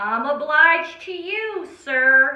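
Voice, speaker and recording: Raising and projecting her voice in a put-on character voice, a woman speaks at a high pitch with slight echo. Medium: read story. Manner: bold, eager.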